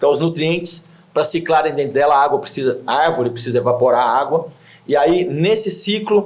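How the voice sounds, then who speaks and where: A man with an unremarkable speaking voice talks at a fairly quick pace in a fairly high pitch, with ordinary pitch variation and very even loudness. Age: 60s. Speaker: environmental project founder. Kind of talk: TV interview.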